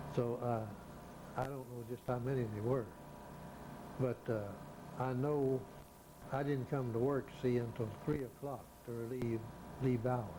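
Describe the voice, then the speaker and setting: With a Southern US accent, a man speaks at a medium pitch in a monotone, flat way, going fairly slowly with long, frequent pauses, and room echo can be heard. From Alabama. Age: 80s+. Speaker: retired railroad towerman. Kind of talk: oral history interview.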